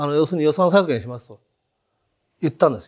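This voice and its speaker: The setting is quiet. A man talks. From Japan, Hiroshima. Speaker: entrepreneur. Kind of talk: interview conversation. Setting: studio. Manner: animated, humorous. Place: studio. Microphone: lapel.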